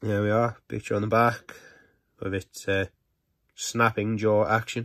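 A man's fairly low voice, monotone and flat in intonation, at a fairly slow pace. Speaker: toy reviewer. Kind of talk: product review. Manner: casual.

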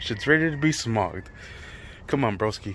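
Very wide pitch swings from a man, with light background noise. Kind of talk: casual tutorial vlog. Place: street. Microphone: phone near.

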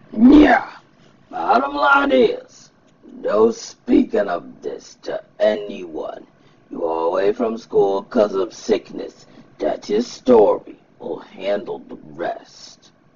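A put-on character voice delivers its lines at a very slow pace. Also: man. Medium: fan dub. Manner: casual, offhand, slightly dismissive.

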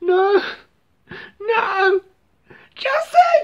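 An extremely high-pitched, put-on character voice. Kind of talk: casual vlog chat. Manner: dismayed outcry. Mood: mock distress, exaggerated whining.

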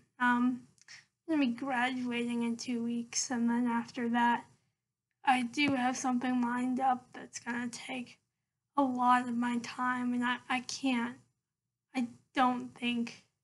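A woman speaks at a high pitch and a fairly slow pace. Her intonation is monotone and flat, with long, frequent pauses. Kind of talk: casual vlog monologue. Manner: hesitant, many fillers. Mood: calm, reflective. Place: home room. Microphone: laptop webcam; webcam.

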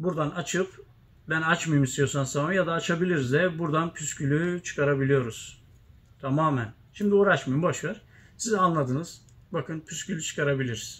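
With a normal speaking voice, a man talks at a moderate pace, fairly high in pitch with ordinary pitch variation. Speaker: tespih shop owner and video host. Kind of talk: casual chat. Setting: inside a shop. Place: workshop. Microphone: phone near.

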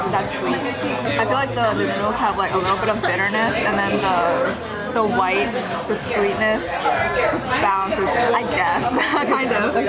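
Over crowd noise in the background, a woman speaks at a fairly slow pace, leaving long, frequent pauses. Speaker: food vlogger. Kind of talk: casual vlog chat. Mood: cheerful, chatty. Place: cafe. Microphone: phone near.

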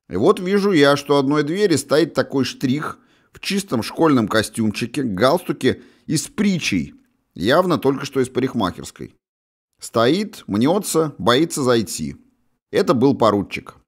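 At a fairly slow pace, the voice shows very wide pitch swings, big swings in loudness and vocal fry, all in a very clean recording with a silent background. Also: man, fairly high pitch for a man. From Russia, St Petersburg. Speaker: author and audiobook narrator. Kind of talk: audiobook memoir reading, first-person recollection of 1980s school days. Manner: measured, conversational storytelling with wry asides.

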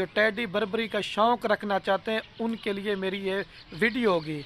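A man with a high pitch, dry sound with no echo and light background noise. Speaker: goat farm seller. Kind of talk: casual vlog chat. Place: farm machine. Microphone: phone near.

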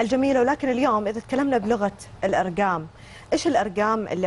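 There is lively movement in this woman's intonation. She keeps to a moderate speed. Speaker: TV talk show host. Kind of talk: TV interview. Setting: TV studio. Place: studio. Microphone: lapel.

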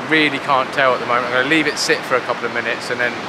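Loud background noise with a dry sound and no echo. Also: man. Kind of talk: casual vlog chat. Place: beach. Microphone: phone near.

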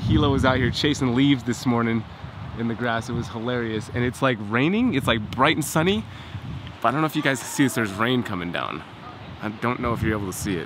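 Very fast male speech, dry with no echo, over noticeable background noise. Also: ordinary pitch variation. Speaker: family vlogger. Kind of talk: casual vlog chat. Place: garden. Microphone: phone near.

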